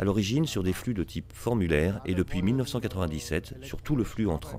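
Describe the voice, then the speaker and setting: Dark and mellow in tone, a man talks at a fairly quick pace with lively intonation. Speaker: consultancy founder presenting at a conference. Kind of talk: business presentation. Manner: formal.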